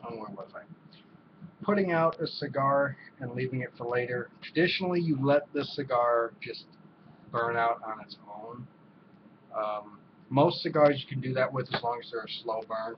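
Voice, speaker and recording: A man at a medium pitch uses ordinary pitch variation, leaves long, frequent pauses, and swings widely in loudness over noticeable background noise. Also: moderate pace. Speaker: cigar reviewer. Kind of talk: casual video review. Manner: hesitant, many fillers.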